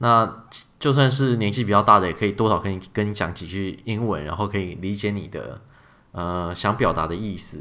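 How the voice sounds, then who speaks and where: With lively intonation and a moderate pace, a man talks in an ordinary speaking voice. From Taiwan. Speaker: podcast host, software engineer. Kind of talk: casual chat.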